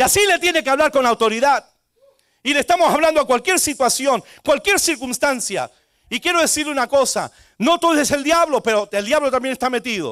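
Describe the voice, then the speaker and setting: This man's voice is extremely high in pitch, with a bright, sharp tone and ordinary pitch variation. He talks at a fairly quick pace in a dry, close sound with no echo. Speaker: pastor. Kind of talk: sermon.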